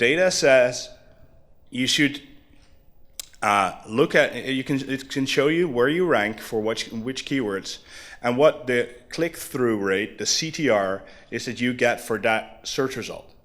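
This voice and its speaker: Talking at a fairly slow pace, a man has a plain, everyday voice of medium pitch with ordinary pitch variation. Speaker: conference speaker. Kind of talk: conference talk.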